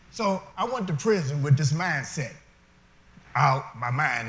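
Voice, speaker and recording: A man speaks with audible room echo. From US Midwest, Detroit. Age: 60s. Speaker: formerly incarcerated speaker. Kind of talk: testimony. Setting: stage with audience.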